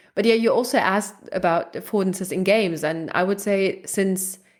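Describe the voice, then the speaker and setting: The speaker has a German accent. The pitch variation is ordinary. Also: woman. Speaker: research psychologist. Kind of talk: interview conversation.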